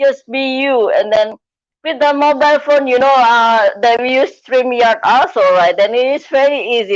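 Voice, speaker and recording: A woman with a non-native accent speaks at a fairly slow pace over a quiet background. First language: not English. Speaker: live streamer, coach and speaker. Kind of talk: live stream interview.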